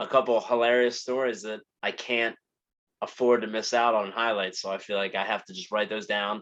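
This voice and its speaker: A man of medium pitch with a New Jersey accent, bright, sharp tone, fairly even intonation and a fairly quick pace. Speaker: podcast host. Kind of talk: casual monologue. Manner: very fast. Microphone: new microphone.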